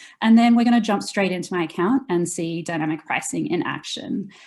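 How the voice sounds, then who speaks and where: A woman speaks at a fairly quick pace with a medium pitch. Her voice is somewhat breathy, with lively intonation. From Australia. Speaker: customer experience director. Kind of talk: webinar tutorial.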